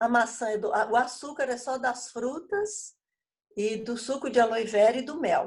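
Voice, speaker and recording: Speech moves at a fairly slow pace. The pitch shifts in an ordinary way. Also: woman, high pitch for a woman. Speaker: bible study leader, former teacher. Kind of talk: casual chat.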